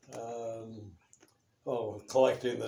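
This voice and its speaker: Audible room echo surrounds a man speaking very slowly in a dark, mellow, somewhat breathy tone. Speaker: interviewee. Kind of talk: interview answer. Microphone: phone near.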